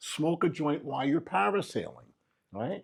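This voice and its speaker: Speaking with a New York accent, a man has a fairly high pitch and vocal fry. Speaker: graffiti artist. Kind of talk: interview.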